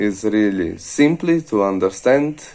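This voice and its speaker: A man with an Italian accent at a very slow pace, with ordinary pitch variation. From Italy. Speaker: trading course student. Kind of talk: testimonial.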